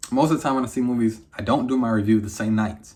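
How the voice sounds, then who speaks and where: A man talks at a very fast pace with an animated tone on a very clean recording with a silent background. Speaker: movie reviewer. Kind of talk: casual review monologue.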